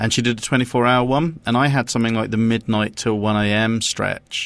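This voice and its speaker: A man with an English accent, fairly quick in pace, with fairly even intonation. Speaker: podcast co-host. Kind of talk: casual chat. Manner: monotone; halting.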